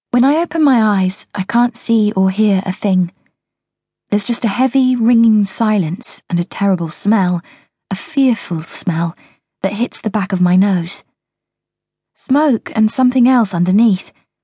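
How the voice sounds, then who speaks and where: A woman's dramatic, dark, mellow voice at a medium pitch, somewhat breathy and fairly slow, with very even loudness and ordinary pitch variation. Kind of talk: audiobook narration, first-person thriller told in present tense. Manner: tense, urgent, dramatic pacing as the narrator describes a bomb blast and panic.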